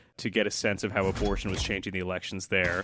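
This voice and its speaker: Against a quiet background, a man with an ordinary speaking voice and a fairly low pitch talks at a fairly quick pace in an American accent. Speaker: journalist. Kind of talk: casual chat.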